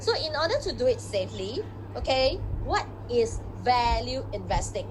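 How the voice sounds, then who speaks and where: Noticeable background noise and audible room echo. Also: woman. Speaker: investing seminar speaker. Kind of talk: online seminar. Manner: fast; animated.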